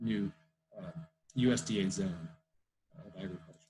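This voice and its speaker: Somewhat breathy, a man talks at a very fast pace. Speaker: field biologist. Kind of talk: online talk Q&A.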